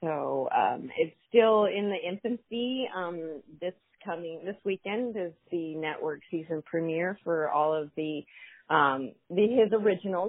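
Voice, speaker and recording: Using a plain, everyday voice, a woman with a fairly low pitch speaks at a fairly slow pace with ordinary pitch variation. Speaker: adult performer. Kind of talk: casual interview chat.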